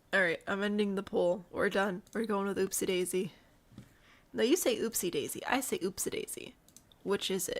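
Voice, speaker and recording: A woman with a Midwestern accent at a moderate pace. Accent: Midwest. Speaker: video game streamer. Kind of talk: casual live-stream commentary.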